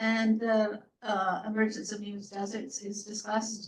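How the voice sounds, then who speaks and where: Here is a woman speaking. Her pitch is medium. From Canada. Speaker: professor, report author. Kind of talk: panel Q&A answer. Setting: hybrid event with audience.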